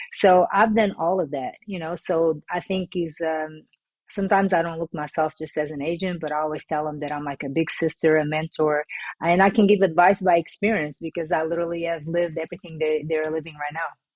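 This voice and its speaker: A woman with a Portuguese accent, fairly low in pitch, with fairly even intonation at a very fast pace. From Portugal. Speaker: former pro basketball player turned sports agent. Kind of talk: podcast interview.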